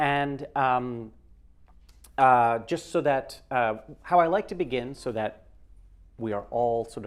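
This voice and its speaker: Lively intonation in a man's voice of medium pitch. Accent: New York. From New York. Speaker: software trainer and sound designer. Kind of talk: lecture. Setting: classroom with live audience and livestream. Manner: animated.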